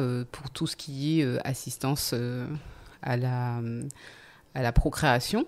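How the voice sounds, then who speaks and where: A woman talks at a very slow pace. She uses ordinary pitch variation. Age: 40s. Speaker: podcast guest sharing life story. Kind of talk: testimony. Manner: halting, many hesitations.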